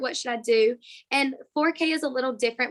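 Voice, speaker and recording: On a very clean recording with a silent background, a woman speaks at a moderate pace with lively intonation. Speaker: pre-kindergarten teacher. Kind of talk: interview answer. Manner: enthusiastic, passionate.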